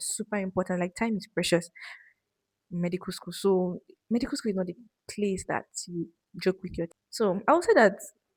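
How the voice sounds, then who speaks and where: A woman talks at a fairly quick pace with medium pitch, a somewhat breathy sound and fairly even intonation, broken by long, frequent pauses. The sound is dry and close, with no echo. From Nigeria. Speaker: medical student vlogger. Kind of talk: casual Q&A chat. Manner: soft-spoken.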